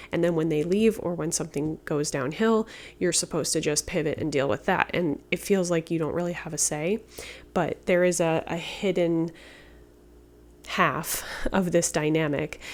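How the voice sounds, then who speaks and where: Soft-spoken and at a fairly low pitch, a woman talks at a moderate pace with fairly even intonation in a very clean recording with a silent background. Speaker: tarot reader. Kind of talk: tarot reading. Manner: halting.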